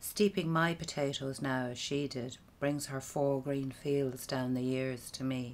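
A woman with an Irish accent speaks at a very slow pace. Her pitch is very deep and low, with light background noise behind her. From Ireland. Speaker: poet. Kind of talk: poetry performance. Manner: relaxed, wry, humorous delivery. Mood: calm, reflective.

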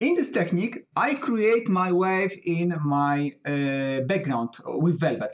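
A man talks at a high pitch with lively intonation. The background is quiet. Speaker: software tutorial creator. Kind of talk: tutorial. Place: home room.

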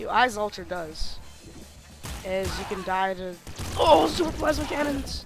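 Long, frequent pauses with music in the background. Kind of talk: gameplay commentary. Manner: casual, excited.

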